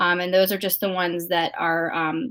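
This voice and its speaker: Intonation stays fairly even at a moderate pace in this unremarkable speaking voice. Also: woman. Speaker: accessibility expert guest. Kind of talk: interview. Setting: remote, at home with dog.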